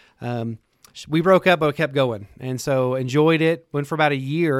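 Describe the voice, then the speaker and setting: On a very clean recording with a silent background, a man with a West Texas accent speaks at a fairly high pitch with fairly even intonation. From West Texas (Lubbock). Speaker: worship pastor. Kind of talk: casual chat.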